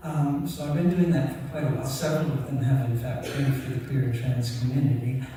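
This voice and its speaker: A man at a fairly quick pace with fairly even intonation, plus audible room echo and noticeable background noise. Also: medium pitch for a man, hardly any pauses. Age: 80s+. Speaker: queer activist and librarian, medal recipient. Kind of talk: award acceptance speech. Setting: stage with audience. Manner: unscripted, with many fillers.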